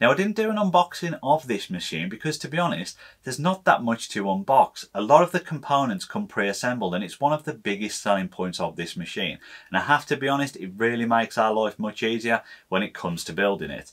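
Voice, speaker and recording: A man talking at a very fast pace against a quiet background. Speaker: maker channel host. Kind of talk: tutorial. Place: workshop.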